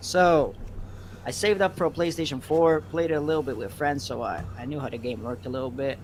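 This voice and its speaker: This man has a New York accent and a fairly high pitch. He talks at a very fast pace. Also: lively intonation. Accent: sounds American, like a New Yorker. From Belgium. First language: Dutch. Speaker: gaming streamer. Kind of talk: casual interview.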